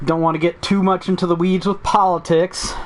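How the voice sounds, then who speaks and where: The voice moves at a moderate pace with noticeable background noise behind it. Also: man. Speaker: gaming podcast host. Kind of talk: casual podcast chat. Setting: live stream.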